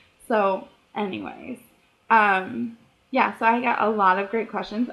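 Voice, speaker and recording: At a fairly slow pace, a woman talks with a fairly high pitch. Her pitch variation is ordinary. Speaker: author vlogger. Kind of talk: casual Q&A vlog. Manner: rambling, chatty.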